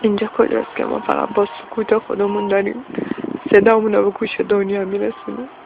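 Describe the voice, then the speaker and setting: Noticeable background noise around a woman's fairly quick speech. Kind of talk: emotional first-person monologue.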